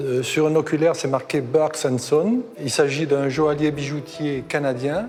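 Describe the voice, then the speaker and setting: Over background music, a man with a slight southwestern French accent talks at a fairly slow pace with ordinary pitch variation. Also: fairly high pitch for a man. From southwest France, Béarn (Pyrénées-Atlantiques). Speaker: seller on an antiques show. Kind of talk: casual conversation.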